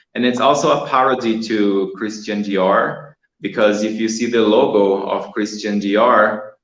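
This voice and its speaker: In a room with audible echo, a man with a Portuguese accent speaks at a fairly low pitch and a fairly slow pace, his intonation fairly even. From Brazil. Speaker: artist. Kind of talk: interview on a live stream. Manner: halting with repetitions.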